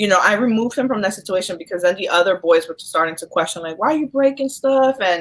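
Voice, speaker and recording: Lively intonation marks this woman's very fast delivery. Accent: New York. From New York, Brooklyn. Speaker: social worker. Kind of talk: casual interview. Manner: hesitant, many fillers.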